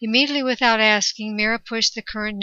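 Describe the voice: Plain reading aloud, the intonation fairly even.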